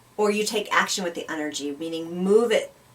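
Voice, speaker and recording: With an ordinary speaking voice, a woman talks at a medium pitch and moderate pace with ordinary pitch variation. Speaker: spiritual talk show co-host. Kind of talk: conversational talk show discussion.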